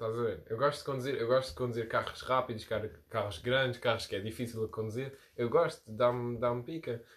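Fairly quick and somewhat breathy, a man speaks at a medium pitch. His pitch variation is ordinary. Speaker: podcast host. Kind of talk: casual chat.

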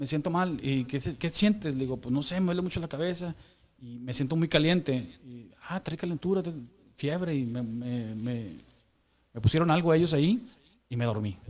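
A man with a fairly high voice speaks at an average speed. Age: 40s. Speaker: church member sharing testimony. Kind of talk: testimony. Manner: halting.

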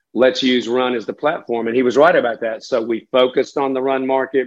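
Speaking with a Southern US accent, a man talks at a fairly quick pace. His pitch sits at a medium level, and his intonation is flat and monotone. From western North Carolina (Catawba County). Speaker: business owner. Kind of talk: interview.

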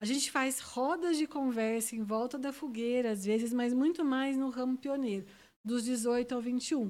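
Fairly slow, high-pitched speech from a woman. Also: ordinary pitch variation. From interior of São Paulo state (Ribeirão Preto). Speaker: scout leader. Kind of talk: casual interview.

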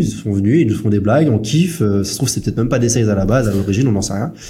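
A man's fairly low, dark, mellow voice, somewhat breathy, races along at a very fast pace amid audible room echo. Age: 20s. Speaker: podcast host, SaaS founder. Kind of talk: casual chat.

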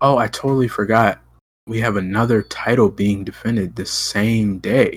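A normal speaking voice, a man talks at a moderate pace with fairly even intonation on a very clean recording with a silent background. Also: medium pitch for a man. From Ohio. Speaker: MMA podcast host. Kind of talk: casual chat.

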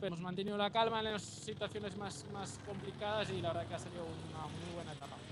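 The speech moves at a very fast pace. Hardly any pauses break it up. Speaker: rally team member. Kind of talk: live remote report. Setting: remote link from rally camp.

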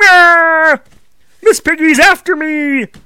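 This put-on character voice is gruff and pitched high. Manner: panicked, frantic.

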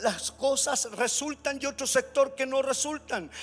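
Music plays in the background as a man talks fairly slowly in an extremely high voice. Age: 50s. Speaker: pastor. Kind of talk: sermon. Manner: halting, repeats words.

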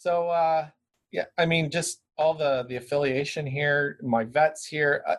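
Here a man with a Canadian accent speaks at a fairly slow pace and a fairly high pitch. His voice is somewhat breathy, with fairly even intonation. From Brantford, Ontario, Canada. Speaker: dog trainer and business owner. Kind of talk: casual interview.

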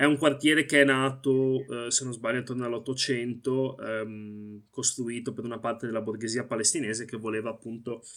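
Fairly quick, nearly pauseless speech from a man at medium pitch, fairly even intonation, very clean recording with a silent background. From Italy. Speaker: Palestinian activist. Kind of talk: interview. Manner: halting.

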